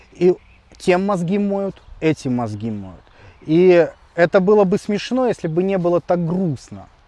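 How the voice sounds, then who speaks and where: Pausing long and often, a man speaks at a high pitch with a dark, mellow tone and lively intonation. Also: dry, close sound with no echo. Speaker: video blogger. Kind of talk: vlog Q&A monologue.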